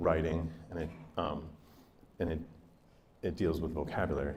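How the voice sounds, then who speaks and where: A man's voice with audible room echo. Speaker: school district literacy presenter. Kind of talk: professional development presentation. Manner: fast.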